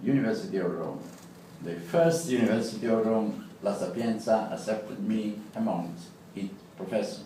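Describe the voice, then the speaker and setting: Noticeable background noise and audible room echo surround a man with a strong Italian accent who talks at a moderate pace and medium pitch with lively intonation. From Italy. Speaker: law professor. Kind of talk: prepared speech. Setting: club meeting with audience. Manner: halting.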